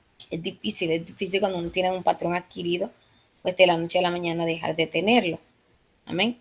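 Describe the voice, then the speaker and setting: At a very fast pace, a woman speaks with a fairly low pitch and monotone, flat intonation. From Dominican Republic. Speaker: Bible study teacher. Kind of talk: Bible study lesson. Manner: hesitant, many fillers.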